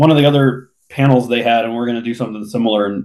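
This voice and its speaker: A man's plain, everyday voice with ordinary pitch variation. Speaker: podcast co-host. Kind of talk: casual chat.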